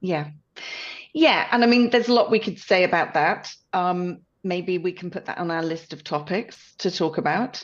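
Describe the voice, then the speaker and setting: A woman with a British accent, a medium pitch and ordinary pitch variation. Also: moderate pace. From United Kingdom. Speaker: podcast co-host. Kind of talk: casual chat.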